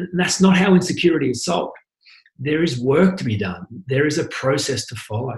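A somewhat breathy male voice, fairly quick in pace, with ordinary pitch variation. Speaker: podcast host and life coach. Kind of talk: solo monologue. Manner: fast.

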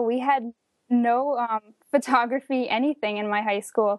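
With an American accent, a woman speaks at a moderate pace in a plain, everyday voice, fairly high in pitch, with a dry, close sound with no echo and a quiet background. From northern New Jersey. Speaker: photographer and performance artist. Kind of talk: interview.

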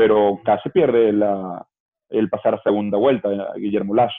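A man with an unremarkable speaking voice talks at medium pitch and a fairly quick pace. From Venezuela. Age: 30s. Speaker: political campaign organizer. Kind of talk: interview conversation.

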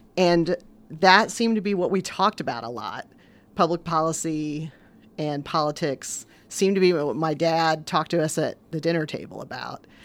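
A woman with a Midwestern American accent talks at a moderate pace in a fairly low pitch. Her pitch variation is ordinary, and the recording is very clean with a silent background. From southwestern Indiana, US Midwest. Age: 50s. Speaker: newspaper editor. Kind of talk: interview.

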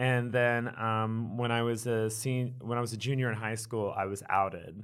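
A man's unremarkable speaking voice at medium pitch, with an American accent, fairly even intonation and a moderate pace. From Texas, Wichita Falls. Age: 20s. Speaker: drag queen and bartender. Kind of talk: casual chat.

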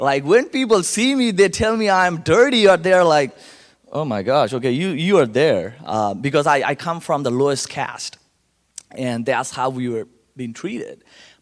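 A man speaks in an animated tone at a fairly slow pace, his fairly high pitch swinging very widely. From Calcutta, India. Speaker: guest speaker at church service. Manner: animated, humorous storyteller.

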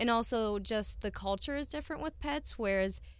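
Speaking at a moderate pace, a woman talks with an Upper Midwest accent. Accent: Upper Midwest American. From South Dakota, Milbank. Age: 20s. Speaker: veterinary student. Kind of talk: interview. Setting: studio.

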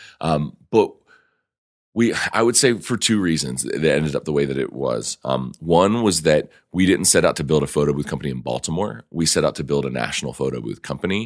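On a very clean recording with a silent background, a man with a very deep, low pitch and vocal fry speaks at a fairly quick pace with lively intonation. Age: 30s. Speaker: entrepreneur and podcast host. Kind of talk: casual interview. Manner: halting, many fillers.

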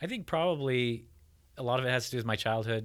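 A man in a very clean recording with a silent background. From Utah, Bountiful. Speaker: landscape painter and art teacher. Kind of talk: interview. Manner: halting, many fillers and repeats.

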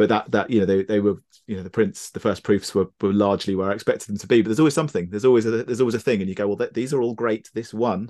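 Against a quiet background, a man in a southern English accent speaks very fast with fairly even intonation. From southern England, Brighton. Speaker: photographer. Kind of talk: casual chat. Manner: halting.

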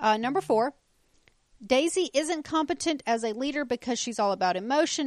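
A woman talks at a fairly quick pace with lively intonation in a plain, everyday voice against a quiet background. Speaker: podcast co-host. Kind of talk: casual chat.

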